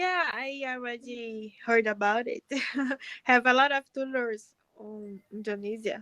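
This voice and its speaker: A woman speaks at a fairly slow pace and a high pitch, with ordinary pitch variation and a bright, sharp tone. Her loudness swings a lot, and the sound is dry and close with no echo. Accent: strong Brazilian. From Brazil. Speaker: pharmacist practising English. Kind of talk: casual chat. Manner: halting.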